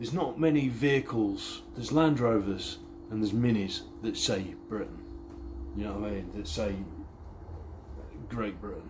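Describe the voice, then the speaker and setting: In a room with audible echo, a man with a medium-pitched voice and vocal fry speaks at a moderate pace with lively intonation and long, frequent pauses. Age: 30s. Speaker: car restoration vlogger. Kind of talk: casual vlog chat. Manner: rambling, halting.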